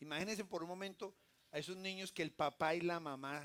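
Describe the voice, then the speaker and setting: Fairly quick in pace, a man speaks in a normal speaking voice. His fairly high pitch follows a fairly even intonation. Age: 60s. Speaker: pastor. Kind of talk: sermon. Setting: church.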